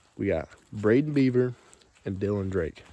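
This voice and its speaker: Fairly low pitch from a man. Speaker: YouTuber, hunter. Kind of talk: casual vlog walkthrough. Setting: outdoors. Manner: low energy.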